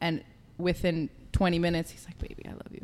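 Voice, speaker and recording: Someone with an American accent and vocal fry talks at a very fast pace. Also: woman. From Israel, then New York from about age eight. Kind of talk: casual chat.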